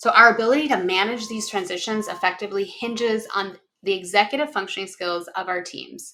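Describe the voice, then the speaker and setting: A woman with a Minnesotan accent speaks at a medium pitch and fairly quick pace with hardly any pauses, her tone bright and sharp, with ordinary pitch variation and big swings in loudness. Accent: Minnesota. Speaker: executive functioning consultant and company founder. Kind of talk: webinar presentation practice run. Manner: some pauses and false starts.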